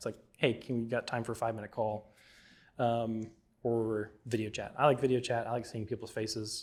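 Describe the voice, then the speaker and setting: A man talks at a medium pitch. His intonation is monotone and flat. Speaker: filmmaker teaching a class. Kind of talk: lecture. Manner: mumbles at times; casual, conversational.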